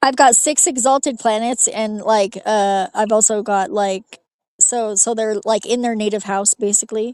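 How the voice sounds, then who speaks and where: A woman with an unremarkable speaking voice talks at a moderate pace and fairly high pitch. The sound is dry and close, with no echo. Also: quiet background. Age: 40s. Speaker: livestream panelist. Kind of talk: casual chat.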